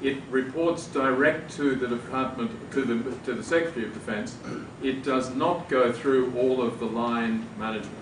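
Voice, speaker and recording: Over noticeable background noise and audible room echo, a man with an Australian accent talks at a moderate pace with a medium pitch and fairly even intonation. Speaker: law professor, debate panelist. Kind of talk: panel debate. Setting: university event with audience.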